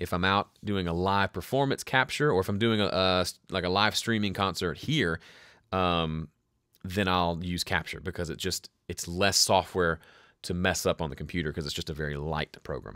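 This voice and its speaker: A man with a Southern US accent speaks at a moderate pace in a very deep, low pitch with ordinary pitch variation and a bright, sharp tone. The sound is dry and close with no echo, on a very clean recording with a silent background. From US South. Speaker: music producer and home studio educator. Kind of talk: live stream Q&A. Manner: casual, conversational.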